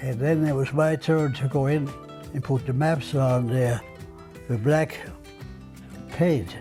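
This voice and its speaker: With music in the background, a man of medium pitch speaks at a very slow pace with long, frequent pauses and fairly even intonation. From Denmark. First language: Danish. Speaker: retired television station artist. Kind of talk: oral history interview answer.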